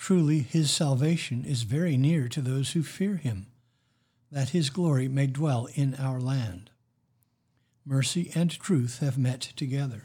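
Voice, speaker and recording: A man speaks with a dark, mellow tone at a fairly high pitch, somewhat breathy. His pace is fairly slow, with ordinary pitch variation. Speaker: priest leading worship. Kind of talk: liturgical prayer service. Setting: church, recorded for online listeners. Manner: formal.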